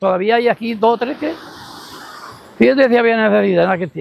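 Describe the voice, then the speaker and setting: This man's voice rides high in pitch, varying it in an ordinary way. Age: 80s+. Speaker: local elder. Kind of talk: testimony. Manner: halting.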